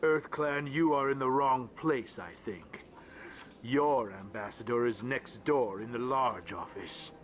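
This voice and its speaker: Amid clear background noise, a man of medium pitch does a put-on character voice at a fairly slow pace. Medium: video game. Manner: condescending.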